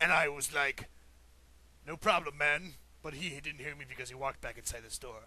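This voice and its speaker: This man talks fairly quickly in a put-on character voice pitched fairly high. He leaves long, frequent pauses, and his loudness swings widely. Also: fairly even intonation. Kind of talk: mock epic storytelling. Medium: solo performance.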